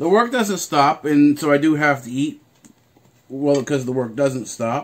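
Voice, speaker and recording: A man at a moderate pace. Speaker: vlogger. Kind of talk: casual vlog chat. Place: kitchen. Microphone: phone near.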